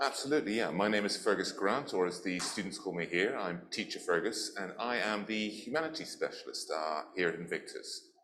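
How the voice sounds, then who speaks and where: A man speaks fairly quickly, and noticeable background noise is present throughout. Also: hardly any pauses. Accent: English. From England. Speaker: teacher. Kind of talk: interview.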